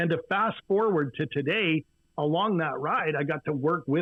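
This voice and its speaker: Here is a man with a Canadian accent and a fairly high pitch. He speaks at a moderate pace with ordinary pitch variation. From western Canada, Vancouver. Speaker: business coach. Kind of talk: podcast interview. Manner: energetic.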